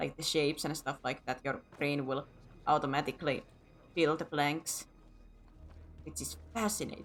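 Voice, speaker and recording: A woman speaks with a very deep, low pitch and vocal fry at a moderate pace. Her intonation is fairly even, broken by long, frequent pauses. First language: Finnish. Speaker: video game streamer. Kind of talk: casual live-stream chat. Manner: halting.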